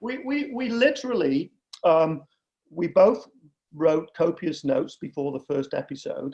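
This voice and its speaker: A man with a northern English accent, fairly high in pitch, dark and mellow in tone, lively in intonation, at a moderate pace. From northern England, Manchester. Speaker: podcaster, father in father-daughter podcast. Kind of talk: casual chat.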